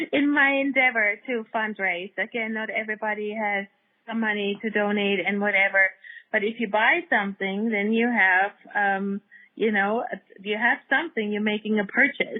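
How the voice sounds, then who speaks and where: A woman with a German accent speaks at a moderate pace in a fairly high pitch. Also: ordinary pitch variation. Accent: German accent, lasting. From Germany. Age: 60s. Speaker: dog rescue nonprofit founder. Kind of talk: interview conversation.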